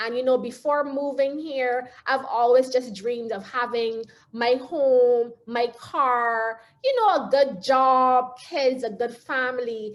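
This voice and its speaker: A woman with a Barbadian accent speaks at a high pitch and a very slow pace, with fairly even intonation. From Barbados. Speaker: motivational speaker. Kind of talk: talk.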